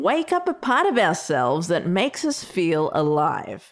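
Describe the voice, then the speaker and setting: Woman's voice at a moderate pace, with very wide swings in pitch. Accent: Australian. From Australia (Melbourne, Sri Lankan heritage). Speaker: podcast host. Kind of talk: scripted narration.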